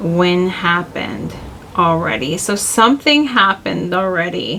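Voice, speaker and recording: Noticeable noise fills the background. The woman's pitch varies in an ordinary way. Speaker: tarot reader. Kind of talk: tarot reading. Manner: rambling, halting; casual, conversational.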